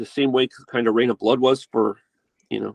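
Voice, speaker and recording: In an American accent, a man speaks at a medium pitch with vocal fry, the sound dry and close with no echo. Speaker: metal guitarist and producer. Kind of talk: casual interview chat. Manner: halting, many fillers.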